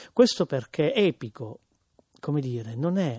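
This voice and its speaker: With a Palermo accent, a man talks at a moderate pace in a dry, close sound with no echo. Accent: Sicilian, Palermo. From Sicily, Palermo. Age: 30s. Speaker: writer and theatre performer. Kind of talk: radio interview.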